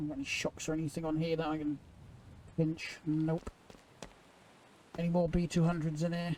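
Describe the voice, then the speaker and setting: In an English accent, a man speaks at a fairly quick pace with a fairly high pitch, monotone and flat, with long, frequent pauses. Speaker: gaming YouTuber. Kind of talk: gameplay commentary. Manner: casual, hurried.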